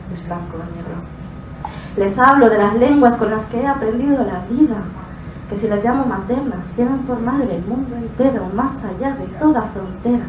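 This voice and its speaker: Both room echo and background noise are noticeable as a woman speaks at a moderate pace. Her pitch is fairly high, with ordinary variation. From Spain, Moroccan family. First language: Moroccan Arabic (speaking Spanish). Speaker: slam poet. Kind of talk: spoken word poetry performance.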